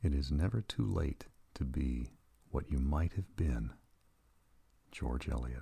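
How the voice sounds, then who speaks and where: A soft-spoken man talks at a very slow pace in a very deep, low pitch. His tone is gentle and somewhat breathy, with lively intonation. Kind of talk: soft-spoken ASMR reading of inspirational quotes. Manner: soft-spoken, gentle, calming.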